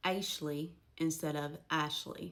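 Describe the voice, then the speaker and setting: The speaker has an Appalachian accent, vocal fry and fairly even intonation. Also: woman. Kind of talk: casual educational talk to camera.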